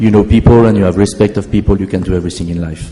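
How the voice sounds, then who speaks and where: Through noticeable background noise, a man with a French accent speaks in a very deep, low pitch. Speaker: keynote speaker, company founder. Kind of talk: conference keynote talk.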